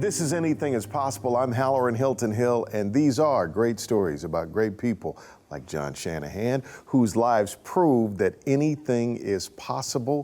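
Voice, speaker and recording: Speaking at a moderate pace, a man uses lively intonation at a medium pitch, his tone dark and mellow. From Milwaukee, Wisconsin. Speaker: talk show host. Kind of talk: interview.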